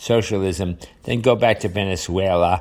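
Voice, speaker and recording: A man speaks in a New York accent with a fairly low pitch. His pitch varies in an ordinary way. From New York area, US. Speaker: podcast host. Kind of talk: solo monologue commentary on current events. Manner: hesitant, filler-heavy, repeats words.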